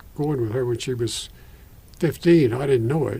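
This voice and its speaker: At a moderate pace, a man talks in a medium-pitched, somewhat breathy voice with a dark, mellow tone and ordinary pitch variation. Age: 80s+. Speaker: retired Methodist minister. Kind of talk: oral history interview. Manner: halting.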